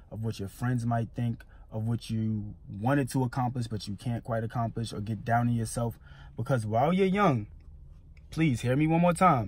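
Somewhat breathy, a man speaks at a moderate pace with ordinary pitch variation, in a dry sound with no echo. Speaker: entrepreneur vlogger. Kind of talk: motivational vlog talk. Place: car. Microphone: phone near.

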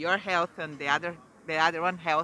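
A man's bright, sharp tone

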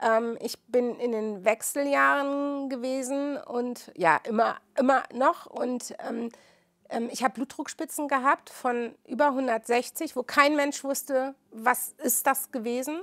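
A woman speaks at a very slow pace with a high pitch and ordinary pitch variation. The recording is very clean and silent in the background, with a dry, close sound and no echo. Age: 50s. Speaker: midwife. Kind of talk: interview testimony.

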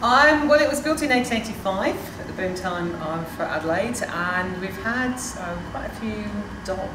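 Loud background noise surrounds a woman talking at a moderate pace. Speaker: local ghost tour guide. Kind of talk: interview answer. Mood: cheerful, storytelling. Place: tunnel cave.

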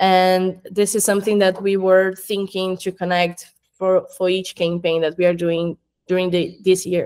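Over a quiet background, the speaker talks at a moderate pace with a Portuguese accent and monotone, flat intonation. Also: woman. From Brazil. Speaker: marketing coordinator at an education company. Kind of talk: interview. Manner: halting, with fillers. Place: home room.

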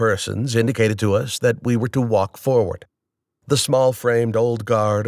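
Over a quiet background, fairly even intonation shapes a natural reading voice.

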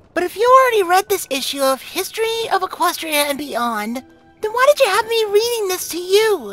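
A put-on character voice speaks at a moderate pace. Faint music plays in the background. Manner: casual, friendly.

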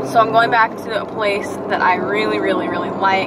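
Loud background noise behind a woman's voice, dry and free of echo. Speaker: vlogger. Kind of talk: casual vlog chat. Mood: relaxed, chatty. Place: car. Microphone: phone near.

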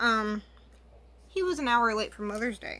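With a bright, sharp tone, a woman speaks at a fairly high pitch and ordinary pitch variation. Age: 20s. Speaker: beauty YouTuber. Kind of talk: makeup tutorial. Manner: casual, chatty. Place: home room. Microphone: webcam.

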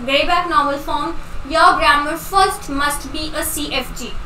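A woman uses a raised, projected voice with ordinary pitch variation, amid audible room echo and light background noise. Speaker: online exam tutor. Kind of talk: lecture.

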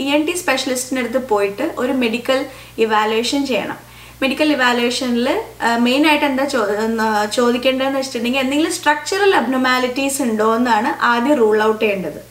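Audible room echo surrounds a woman's high-pitched voice, which shows ordinary pitch variation. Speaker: audiologist and speech language pathologist. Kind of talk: educational explainer to camera. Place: home room.

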